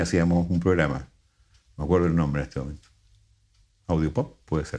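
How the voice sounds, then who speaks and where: A man speaks at a fairly quick pace in a very deep, low voice with a dark, mellow tone and fairly even intonation. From Chile. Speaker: radio announcer and voice-over artist. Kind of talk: interview answer.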